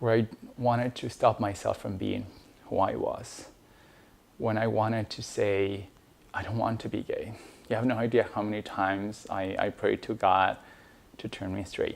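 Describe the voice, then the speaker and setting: A man with an Ecuadorian accent at a moderate pace, with long, frequent pauses. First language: Spanish. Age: 30s. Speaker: immigration lawyer telling personal story. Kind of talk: personal testimony. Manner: halting, many fillers.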